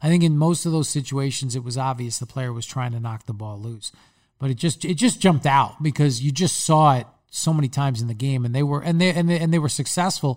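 A somewhat breathy man with a Long Island accent, fairly high pitch, ordinary pitch variation and a very fast pace, on a very clean recording with a silent background. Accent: Long Island New York. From Long Island, New York. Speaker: football analyst and podcast host. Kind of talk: casual sports chat and analysis.

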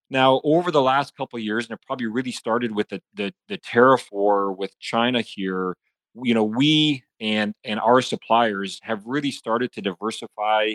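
At a moderate pace, a man speaks with a slight Canadian accent in a dry, close sound with no echo. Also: medium pitch for a man, ordinary pitch variation. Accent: slight Canadian, e.g. 'about'. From Saskatchewan, Canada (farm). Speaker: agribusiness executive. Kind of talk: podcast interview.

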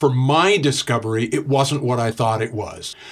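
A man's somewhat breathy voice, medium in pitch, at a moderate pace. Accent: Canadian. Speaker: author. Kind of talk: interview.

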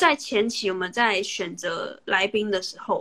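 A woman speaks with a bright, sharp tone. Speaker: podcast host interviewing via livestream. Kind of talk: casual interview chat. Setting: Instagram livestream call.

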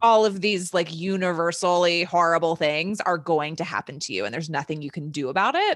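With an ordinary speaking voice, a woman talks at a fairly quick pace and a fairly low pitch, with ordinary pitch variation and hardly any pauses, in a very clean recording with a silent background. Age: 30s. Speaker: podcast co-host. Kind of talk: casual chat.

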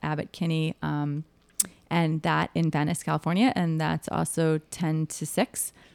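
Recorded dry and close with no echo, a woman speaks at a moderate pace in a plain, everyday voice with a fairly low pitch. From Chicago, US Midwest. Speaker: vintage store owner and event organizer. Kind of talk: casual interview.

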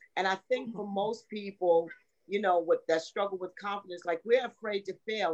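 With a normal speaking voice, a woman talks at a fairly quick pace and a medium pitch. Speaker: minister and coach. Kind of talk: casual panel chat.

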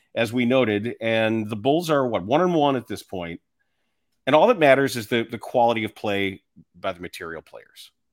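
A man with an ordinary speaking voice, medium pitch, a fairly quick pace, lively intonation and big swings in loudness, on a very clean recording with a silent background. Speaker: podcast host, basketball commentator. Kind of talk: casual sports podcast banter, radio-style patter. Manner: conversational, bantering, sarcastic, self-deprecating.

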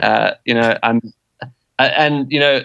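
In a South African accent, a man talks at a fairly quick pace with a medium pitch and monotone, flat intonation. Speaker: game reserve conservationist and author. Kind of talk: interview. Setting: remote call over internet.

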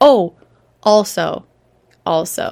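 Lively intonation carries a woman's animated tone. The recording is very clean, with a silent background. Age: 30s. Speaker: podcast host and business coach for teachers. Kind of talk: solo podcast monologue. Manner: animated, laughing often.

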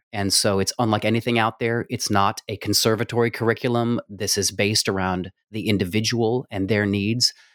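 A man with an American accent talks at a fairly quick pace with hardly any pauses, his fairly low voice monotone and flat, on a very clean recording with a silent background and a dry, close sound with no echo. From New Mexico, US. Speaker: music producer and stage actor. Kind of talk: interview conversation.

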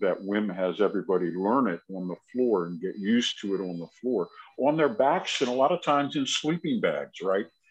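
Speaking in a normal speaking voice, a man at medium pitch talks at a moderate pace with lively intonation and hardly any pauses. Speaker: podcast co-host. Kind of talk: casual interview chat.

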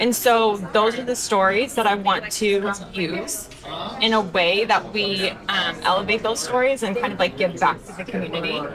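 A woman with an American accent at a medium pitch and moderate pace, with ordinary pitch variation over noticeable background noise. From Texas, Denton. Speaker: hairstylist and social media educator. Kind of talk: interview. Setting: live industry event.

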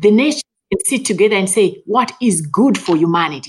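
A woman speaks at a moderate pace, somewhat breathy, with very wide pitch swings. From Zimbabwe. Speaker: plant geneticist. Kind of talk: interview.

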